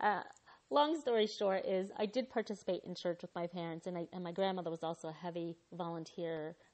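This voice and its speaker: At a fairly quick pace, a woman talks in a plain, everyday voice, fairly low in pitch with ordinary pitch variation. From born in Guyana, raised in the US from 1979. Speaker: podcast host and fundraising marketer. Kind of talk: personal storytelling monologue.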